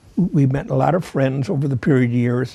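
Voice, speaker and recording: A man with an American accent, a dark, mellow tone, somewhat breathy, with ordinary pitch variation. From Chicago area, US Midwest. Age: 90s. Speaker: war veteran. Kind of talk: oral history interview. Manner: halting, frequent fillers and restarts.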